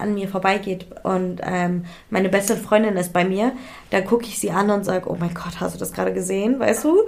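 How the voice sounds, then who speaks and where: A woman is talking at a moderate pace. Her pitch is medium. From India. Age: 20s. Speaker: influencer and model. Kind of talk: casual chat.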